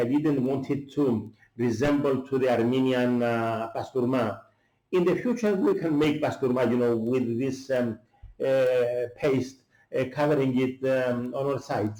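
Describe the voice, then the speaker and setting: A man's medium-pitched voice at a moderate pace, with ordinary pitch variation and very even loudness. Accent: Greek. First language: Greek. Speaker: chef. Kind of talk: cooking tutorial. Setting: at home. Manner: halting, many fillers.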